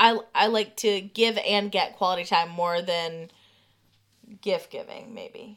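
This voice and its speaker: A woman with a medium pitch speaks at a very slow pace with fairly even intonation. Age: 30s. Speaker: podcast co-host. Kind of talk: casual chat.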